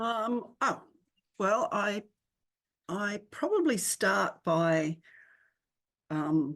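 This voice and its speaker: With an Australian accent, a woman speaks at a very slow pace, leaving long, frequent pauses. Her pitch swings very widely against a quiet background. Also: medium pitch for a woman. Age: 60s. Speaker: children's author. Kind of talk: interview. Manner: halting.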